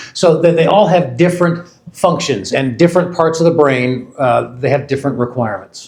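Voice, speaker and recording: A man with an American accent, an unremarkable speaking voice, fairly high pitch, lively intonation and a fairly quick pace. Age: 50s. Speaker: company research executive. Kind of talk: product launch presentation.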